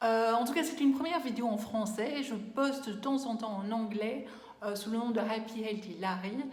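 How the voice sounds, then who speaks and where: Speaking at a moderate pace, a woman uses a fairly high, somewhat breathy voice with ordinary pitch variation. Audible room echo surrounds her. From Belgium. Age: 40s. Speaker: beauty vlogger. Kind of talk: casual vlog talk. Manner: hesitant, many fillers.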